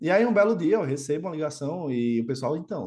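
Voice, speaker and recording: A man speaks with lively intonation. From Brazil, Natal, Rio Grande do Norte (Northeast). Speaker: quantitative trading executive. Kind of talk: podcast interview. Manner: casual, conversational with many fillers.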